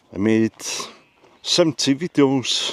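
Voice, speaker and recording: A man is heard in a dry, close sound with no echo, though with noticeable background noise. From Wales. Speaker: YouTuber. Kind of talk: casual talk to camera.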